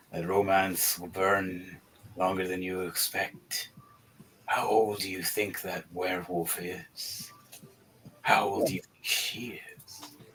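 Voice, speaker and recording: Using a put-on character voice, a man speaks very deep and low at a fairly slow pace, with long, frequent pauses. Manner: laughing, amused.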